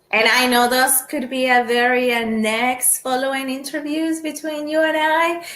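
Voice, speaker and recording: With audible room echo, a woman talks at a moderate pace and a high pitch, keeping her intonation fairly even with hardly any pauses. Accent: Spanish. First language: Spanish. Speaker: podcast host, sport shooter. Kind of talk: casual interview chat. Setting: home.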